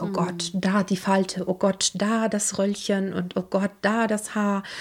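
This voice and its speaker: A woman speaks at medium pitch with fairly even intonation. Her voice is somewhat breathy. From Italy (Rome area). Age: 30s. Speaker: interpreter and singer. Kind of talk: casual interview.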